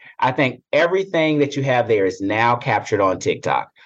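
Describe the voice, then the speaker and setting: Against a quiet background, a man speaks with a slight Southern US accent. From upstate South Carolina, Greenville. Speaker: corporate human resources executive. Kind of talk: interview conversation.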